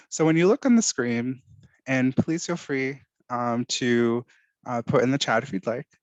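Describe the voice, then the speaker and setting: An ordinary speaking voice moves at a moderate pace with ordinary pitch variation, recorded with a dry, close sound with no echo against a quiet background. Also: man. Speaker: workshop presenter. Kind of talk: online workshop presentation.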